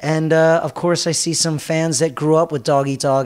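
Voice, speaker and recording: Speaking at a fairly quick pace, a man with an American accent keeps a monotone, flat intonation over noticeable background noise. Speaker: rock band frontman. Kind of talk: casual interview.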